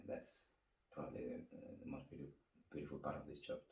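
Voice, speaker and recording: A man is speaking. He has an Argentine accent. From Argentina. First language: Spanish. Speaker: winemaker. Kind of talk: interview answer.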